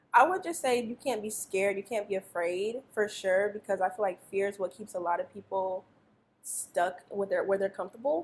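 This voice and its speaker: With a normal speaking voice, a woman talks at a moderate pace, her medium pitch showing ordinary pitch variation. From Colorado, US. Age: 20s. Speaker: rapper and former dancer. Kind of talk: casual interview chat.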